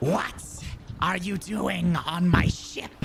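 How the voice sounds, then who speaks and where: A shrill, put-on character voice. Clear background noise runs underneath. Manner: angry, confronting.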